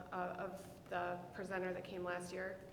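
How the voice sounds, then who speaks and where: In an American accent, a woman speaks at a fairly quick pace and medium pitch, with audible room echo and noticeable background noise. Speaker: school counselor. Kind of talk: presentation to school board. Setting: school board meeting.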